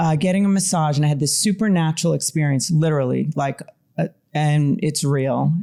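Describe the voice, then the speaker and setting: A woman speaks with a Long Island accent. Her pitch is very deep and low, and her tone is dark and mellow. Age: middle-aged. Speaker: mental health therapist. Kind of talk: interview conversation.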